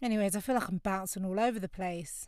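A woman with a London accent talks at a very fast pace, her medium pitch showing ordinary pitch variation. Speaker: podcast host. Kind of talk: podcast monologue reflecting on a book chapter. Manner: casual, conversational.

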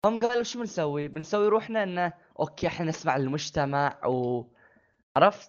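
Moderate speed and lively intonation from a man with a high-pitched voice. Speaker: podcast co-host. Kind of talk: casual chat.

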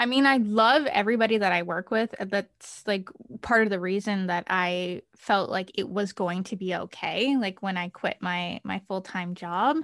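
At a moderate pace and medium pitch, a woman with an unremarkable speaking voice talks with ordinary pitch variation in a dry, close sound with no echo. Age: 20s. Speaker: virtual assistant, small business owner. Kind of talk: casual chat.

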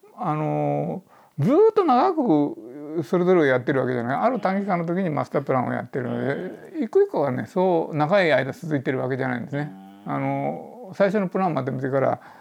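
Music plays in the background. A man talks at a fairly quick pace. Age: 70s. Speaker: urban planner. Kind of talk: interview. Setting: podcast recording.

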